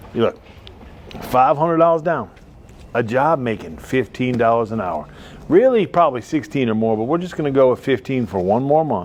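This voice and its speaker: Over noticeable background noise, a man talks at a fairly quick pace. His medium-pitched voice carries lively intonation. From not from the South; moved to Alabama. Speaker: car dealer. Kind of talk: comedic sales pitch. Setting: on the car lot, live. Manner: rambling, jokey and animated.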